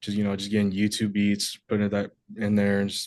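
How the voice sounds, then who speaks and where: A man's fairly low voice, flat and monotone, at a moderate pace against a quiet background. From US, moved around; home state Georgia, high school in Wisconsin. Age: 20s. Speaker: rapper. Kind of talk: interview.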